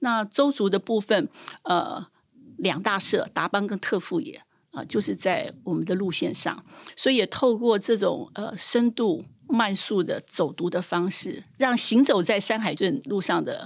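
A woman talks in a normal speaking voice at medium pitch and a moderate pace, with lively intonation, on a very clean recording with a silent background. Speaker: trail association director. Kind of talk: interview conversation.

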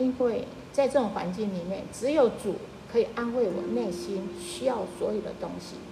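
A woman with a fairly high pitch and ordinary pitch variation speaks at a fairly slow pace, with noticeable background noise and audible room echo. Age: 70s. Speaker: churchgoing widow and grandmother. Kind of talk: personal faith testimony.

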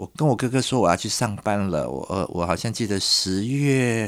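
With a normal speaking voice, a man talks at a moderate pace. His pitch is fairly low and his intonation lively. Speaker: designer and curator. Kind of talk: interview.

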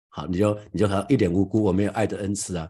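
A man speaks at a fairly low pitch in a dark, mellow, somewhat breathy voice with fairly even intonation against a quiet background. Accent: Taiwanese. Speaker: pastor. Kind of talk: sermon. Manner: halting.

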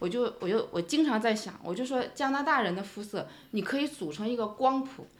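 The delivery moves at a fairly quick pace with lively intonation and hardly any pauses. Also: woman. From China, Shanghai. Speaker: immigrant parent. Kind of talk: casual chat.

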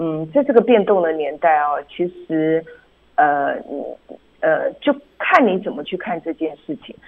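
A woman speaks at a fairly slow pace. Her pitch is fairly low and her intonation is lively. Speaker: public relations agency founder and author. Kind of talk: radio interview. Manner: halting, many fillers.

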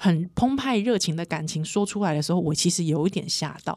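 A woman's medium-pitched voice, animated in tone, with lively intonation and a fairly quick pace. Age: 30s. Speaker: podcast host. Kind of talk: casual chat.

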